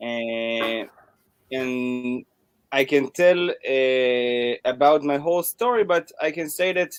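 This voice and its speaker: With lively intonation, a man speaks at a very slow pace in a dry, close sound with no echo. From Israel. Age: 20s. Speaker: DJ and drummer. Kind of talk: interview. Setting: live video call.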